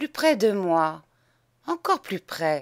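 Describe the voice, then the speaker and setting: A put-on character voice that sounds female and shaky sits at a middle pitch with very wide pitch swings, moving at a fairly slow pace on a very clean recording with a silent background. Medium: read story. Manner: soft, caressing.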